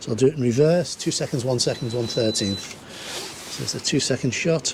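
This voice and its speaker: Against noticeable background noise, a man talks at a fairly quick pace with a medium pitch. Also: ordinary pitch variation. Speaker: landscape photographer. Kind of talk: casual on-location tutorial vlog. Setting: outdoors on coastal rock reef. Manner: hesitant, filler-heavy.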